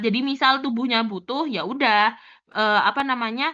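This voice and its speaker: A woman speaks at a fairly high pitch for a woman. She keeps a moderate pace with ordinary pitch variation. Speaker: pharmacy student tutor. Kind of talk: tutorial. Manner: casual.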